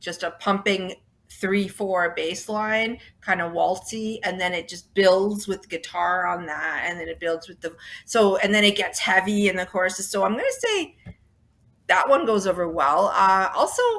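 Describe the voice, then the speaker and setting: A woman with a Toronto accent speaks at a medium pitch with fairly even intonation and big swings in loudness. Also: moderate pace. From Toronto, Canada. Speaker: rock band singer and bassist. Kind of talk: interview.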